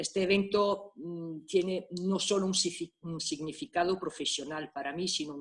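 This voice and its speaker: A woman speaks in an Italian accent. Her pitch varies in an ordinary way. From Italy, Milan. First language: Italian (speaking Spanish). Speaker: private detective. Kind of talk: conference talk. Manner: halting.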